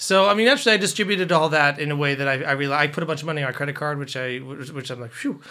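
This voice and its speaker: Over noticeable background noise, a man with a fairly high pitch talks very fast with hardly any pauses, ordinary pitch variation and big swings in loudness. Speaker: music podcast co-host, aspiring voice actor. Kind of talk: casual chat about music history.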